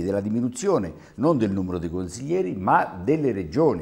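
Speaking at a moderate pace, a man with a fairly low, dark, mellow voice makes very wide pitch swings. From Terni, Umbria, central Italy; Umbria. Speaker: regional councillor. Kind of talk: televised political debate. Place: studio. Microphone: lapel.

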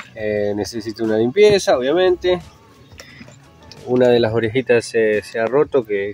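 Faint music plays in the background as a man talks at a moderate pace with ordinary pitch variation, the sound dry with no echo. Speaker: motorbike owner vlogger. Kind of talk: casual vlog chat. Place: street. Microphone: phone near.

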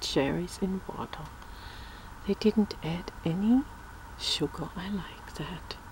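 A woman speaks very slowly, the sound dry with no echo and light background noise behind her. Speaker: ASMR creator. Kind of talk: casual vlog chat. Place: home room. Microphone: phone near.

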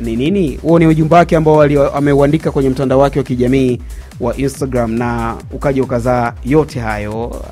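Faint music sits in the background. Over it, a man speaks fairly quickly. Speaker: sports show host. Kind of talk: commentary. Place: studio. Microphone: studio mic.

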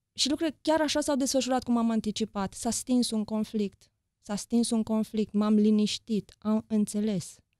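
A woman's fairly high voice with a dark, mellow tone, ordinary pitch variation, a moderate pace, and a dry, echo-free sound over a quiet background. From Romania, Deva (Transylvania); Romania. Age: 40s. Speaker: journalist and author; journalist. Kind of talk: interview conversation. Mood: reflective, personal. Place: studio. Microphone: studio mic.

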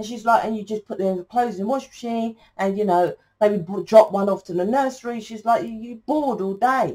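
With an English accent, a woman speaks at a fairly high pitch in a dark, mellow tone, showing ordinary pitch variation and big swings in loudness over a quiet background. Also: fairly quick pace. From England. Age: 40s. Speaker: tarot reader. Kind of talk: tarot reading monologue. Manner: rambling, halting with fillers. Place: home room. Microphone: phone near.

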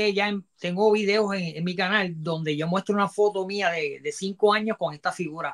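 Against a quiet background, a man talks in a high pitch with fairly even intonation. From Ponce, Puerto Rico; Puerto Rico. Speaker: toy collector and salesman; interview guest. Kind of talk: live-stream interview. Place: home room. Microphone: earbuds.

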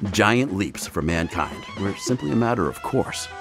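With music in the background, a man with an American accent speaks at a fairly slow pace, using very wide pitch swings. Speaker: voice actor. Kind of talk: TV commercial read. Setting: studio.

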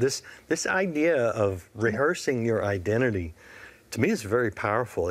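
The intonation is lively. It comes from a male speaker. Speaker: TV host. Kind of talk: interview. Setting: studio. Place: studio.

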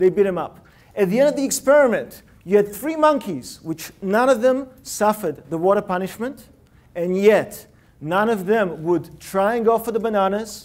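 A man's high-pitched, animated voice with lively intonation. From Russia (Leningrad), emigrated. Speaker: innovation consultant and speaker. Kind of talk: TEDx-style talk. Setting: stage with live audience. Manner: animated, interactive. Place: hall. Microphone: lapel.

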